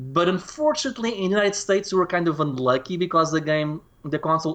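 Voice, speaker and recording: A man talks at a very fast pace with a high pitch. He has a Portuguese accent. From Portugal. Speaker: retro gaming YouTuber. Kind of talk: casual conversation interview. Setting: Skype call.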